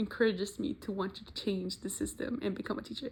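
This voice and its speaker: A woman talks at a moderate pace, her fairly high voice somewhat breathy with ordinary pitch variation. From Mexico. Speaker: university student. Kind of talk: class presentation video.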